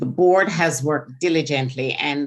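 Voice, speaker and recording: A woman with a Jamaican accent, very deep and low in pitch, ordinary pitch variation, moderate pace. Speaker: state board member. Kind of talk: legislative testimony. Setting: committee hearing, live streamed.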